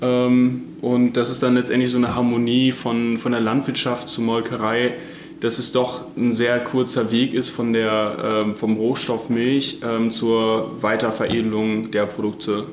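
Speaking at a fairly slow pace, a man keeps a medium pitch, a monotone, flat intonation and very even loudness. Noticeable background noise and audible room echo surround his voice. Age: 20s. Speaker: dairy technologist. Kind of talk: interview. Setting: on the farm.

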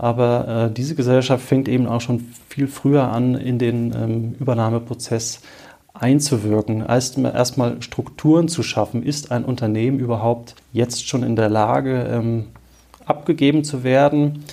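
With a dark, mellow tone, a man speaks at a medium pitch using fairly even intonation. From Marburg, Hesse, Germany. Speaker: bank advisor. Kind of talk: expert interview. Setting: in person, Marburg. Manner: hesitant with filler sounds.

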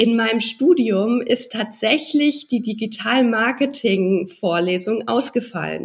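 A woman speaks at a very slow pace with hardly any pauses. Her voice is somewhat breathy and fairly high, with ordinary pitch variation. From Hesse, Germany (Darmstadt area, then Mannheim). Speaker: social media marketing entrepreneur. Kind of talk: interview.

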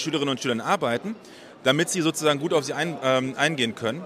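Noticeable background noise surrounds a man whose fairly high voice races at a very fast pace. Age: 40s. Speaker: special education teacher and startup founder. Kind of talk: interview. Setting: recorded on site at an education congress.

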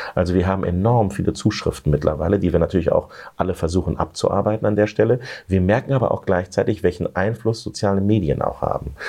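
Speaking at a very fast pace, a man with a fairly low pitch, ordinary pitch variation, very even loudness and a dark, mellow tone sounds somewhat breathy. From Lower Saxony, Germany. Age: 40s. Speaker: politician. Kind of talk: interview.

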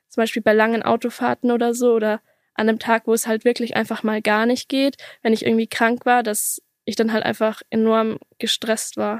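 A woman speaks at a moderate pace in a monotone, flat delivery, on a very clean recording with a silent background and a dry, close sound with no echo. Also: fairly high pitch for a woman. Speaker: interview guest sharing experience of exercise addiction and eating disorder. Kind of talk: personal testimony in an interview.

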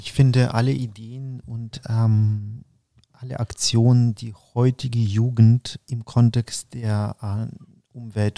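A man's dark, mellow tone with fairly even intonation, on a very clean recording with a silent background. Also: big swings in loudness, dry, close sound with no echo. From Ukraine. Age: 40s. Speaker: interview guest. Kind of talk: interview. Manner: halting, many fillers.

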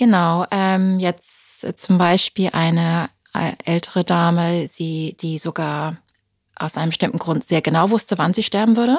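A woman with an ordinary speaking voice and ordinary pitch variation is heard with a dry, close sound and no echo. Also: fairly low pitch for a woman, fairly slow pace. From Britain. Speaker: funeral speaker and journalist. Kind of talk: interview conversation.

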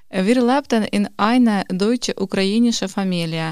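The woman's pitch is medium and varies in an ordinary way. She speaks at a fairly slow pace. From Ukraine, Kharkiv. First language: Ukrainian or Russian (speaking German). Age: 30s. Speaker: quality manager, course participant. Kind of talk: reading aloud.

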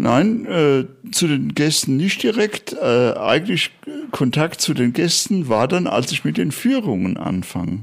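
A man with vocal fry and a fairly high pitch talks very slowly, his pitch swinging very widely while his loudness stays very even. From Germany, Bad Orb (Hesse, Spessart). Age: 70s. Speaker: night watchman tour guide. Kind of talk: interview. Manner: hesitant with frequent fillers.

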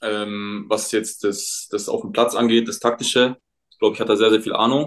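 With fairly even intonation, the man talks at a moderate pace in a medium pitch. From Munich, Bavaria. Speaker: professional footballer. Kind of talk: casual chat. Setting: remote call from home.

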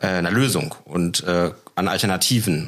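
The voice belongs to a man. Pitch rises and falls by an ordinary amount. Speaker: party chairman and trained farmer. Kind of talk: political podcast discussion. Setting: studio in party office. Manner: halting, many fillers.

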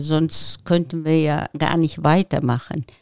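The speaker talks at a very slow pace with a Turkish accent. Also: woman, dry, close sound with no echo. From Turkey. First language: Turkish (speaking German). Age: 70s. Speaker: local politician, retired teacher. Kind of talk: interview.

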